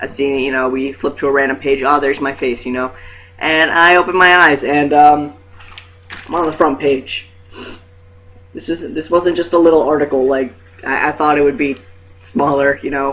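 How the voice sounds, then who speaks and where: Over noticeable background noise, a fairly high-pitched man speaks at a moderate pace with fairly even intonation and long, frequent pauses. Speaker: vlogger. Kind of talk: casual vlog. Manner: hesitant, many fillers.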